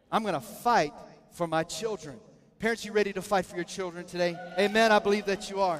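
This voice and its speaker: A man with a high pitch, animated tone and very fast pace. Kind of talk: sermon. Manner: animated call-and-response preaching, coaxing the congregation to echo lines; urgent, shouted exhortation with rising intensity.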